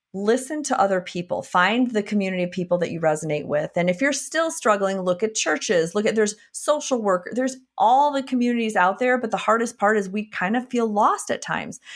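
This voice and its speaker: In a Wisconsin accent, a woman with a fairly high pitch talks at a fairly quick pace with hardly any pauses. Her tone is animated, and the recording is very clean, with a silent background. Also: lively intonation. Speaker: functional medicine physician and coach. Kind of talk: podcast interview.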